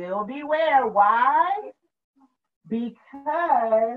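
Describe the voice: A woman talks at a very slow pace. Her pitch swings widely.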